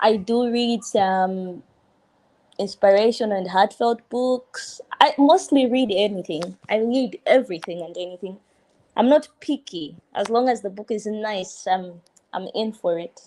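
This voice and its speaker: Someone with a Malawian accent speaks at a fairly slow pace with ordinary pitch variation. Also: woman, fairly high pitch for a woman. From Tanzania. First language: Chichewa. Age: 20s. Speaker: law student. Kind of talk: casual chat.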